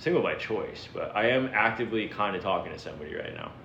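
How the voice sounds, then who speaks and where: With an American accent, a man speaks at a fairly quick pace and medium pitch amid audible room echo and noticeable background noise. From Florida. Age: 30s. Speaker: livestreamer. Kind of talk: casual chat. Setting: livestream. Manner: animated.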